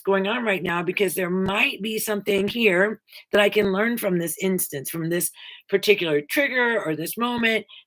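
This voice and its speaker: At a moderate pace, a woman speaks in an ordinary speaking voice, medium in pitch with ordinary variation. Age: 60s. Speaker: spiritual self-help video host. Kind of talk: inspirational monologue.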